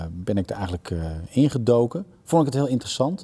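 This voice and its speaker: With lively intonation, this man's voice carries a dark, mellow tone. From Netherlands. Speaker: TV director and voice actor. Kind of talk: interview answer. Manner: enthusiastic. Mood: relaxed, reflective. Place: stage. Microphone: lapel.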